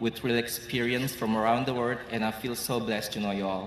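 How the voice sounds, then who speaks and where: With noticeable background noise and audible room echo, a man speaks with an Indonesian accent and ordinary pitch variation. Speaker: law graduate student. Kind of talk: graduation speech. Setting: stage with audience.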